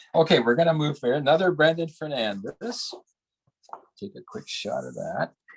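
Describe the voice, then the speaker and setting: This man speaks at a moderate pace and a fairly high pitch, with vocal fry, big swings in loudness and very wide pitch swings. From Canada, Toronto. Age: 70s. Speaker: printmaker and art professor. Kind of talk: artist talk with live demonstration. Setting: video call from studio. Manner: halting, many fillers.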